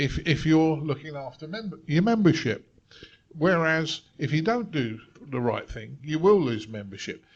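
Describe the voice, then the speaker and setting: A man's fairly high, somewhat breathy voice with very wide pitch swings, against a quiet background. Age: 60s. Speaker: radio club panelist. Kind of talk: panel discussion.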